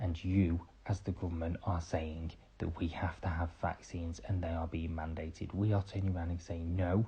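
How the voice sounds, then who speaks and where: Against a quiet background, a man with a very deep, low pitch and a dark, mellow tone talks at a moderate pace in a somewhat breathy, monotone, flat delivery with hardly any pauses. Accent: British. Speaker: podcaster. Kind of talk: opinion monologue. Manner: quiet, hushed; impassioned.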